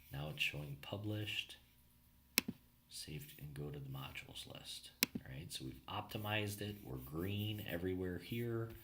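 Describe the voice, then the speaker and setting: Lively intonation with audible room echo. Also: man, very deep, low pitch for a man, moderate pace. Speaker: marketing consultant. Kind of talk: tutorial. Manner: casual, filler-heavy.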